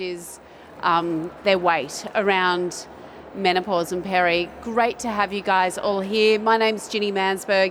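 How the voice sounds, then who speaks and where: A woman with an Australian accent speaks at a fairly slow pace, her medium pitch showing ordinary variation. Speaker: doctor and panel moderator. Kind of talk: panel discussion. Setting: stage with audience.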